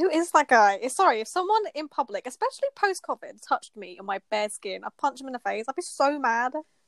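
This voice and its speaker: An animated woman's voice, high in pitch with very wide pitch swings and big swings in loudness, fairly quick with hardly any pauses, in a dry, close sound with no echo. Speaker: podcast host. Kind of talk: casual chat, comedic banter. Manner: animated, laughs often.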